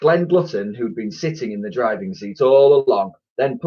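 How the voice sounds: In a quiet background, a natural reading voice comes through.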